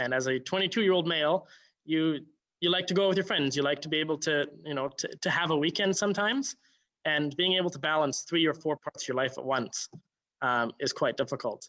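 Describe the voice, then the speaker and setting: Speaking at a fairly quick pace, a man with a fairly high pitch and a bright, sharp tone is heard in a dry, close sound with no echo. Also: ordinary pitch variation. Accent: Canadian. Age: 20s. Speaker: town councillor. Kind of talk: panel discussion.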